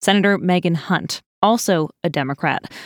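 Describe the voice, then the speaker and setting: An unremarkable speaking voice moves at a moderate pace with ordinary pitch variation, captured as a dry, close sound with no echo on a very clean recording with a silent background. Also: woman. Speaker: news podcast host. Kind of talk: news reading. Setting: studio. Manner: formal, steady, clear newsreader delivery; brisk, polished.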